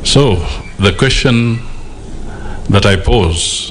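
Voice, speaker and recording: A man speaks with ordinary pitch variation. Light background noise is present. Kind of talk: formal speech. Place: hall. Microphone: podium.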